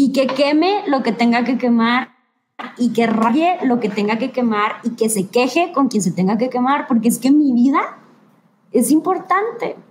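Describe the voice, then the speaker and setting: Lively intonation rides over very even loudness as the speaker moves at a fairly slow pace. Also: woman, high pitch for a woman. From northern Mexico, Ciudad Victoria, Tamaulipas. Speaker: lawyer and gender equity specialist. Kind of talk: live-streamed interview.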